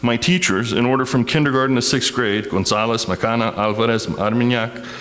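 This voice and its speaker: Through audible room echo and noticeable background noise, a man talks at a fairly quick pace with a medium pitch. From Texas, El Paso. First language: Spanish. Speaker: community speaker. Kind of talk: personal testimony.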